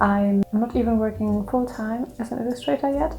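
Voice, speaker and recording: A woman with a German accent speaks at a moderate pace and a fairly high pitch with ordinary variation. Music plays in the background. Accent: German accent, self-described. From Germany. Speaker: freelance illustrator. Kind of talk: Q&A vlog, casual talk to camera. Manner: hesitant, with fillers.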